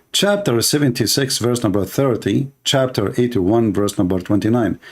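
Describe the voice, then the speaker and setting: Speaking at a medium pitch with an Arabic accent, a man shows ordinary pitch variation. His loudness stays very even. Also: moderate pace. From Middle East. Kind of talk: livestream debate talk.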